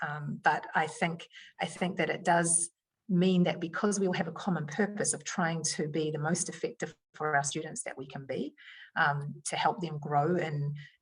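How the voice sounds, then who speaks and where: A woman's fairly low, somewhat breathy voice in a New Zealand accent, with fairly even intonation. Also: moderate pace. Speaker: education leader. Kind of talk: podcast interview answer.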